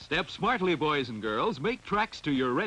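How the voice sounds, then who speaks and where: An upbeat man's voice with very wide pitch swings. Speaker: commercial announcer. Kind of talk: radio ad sales pitch. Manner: bright, upbeat, smooth announcer delivery.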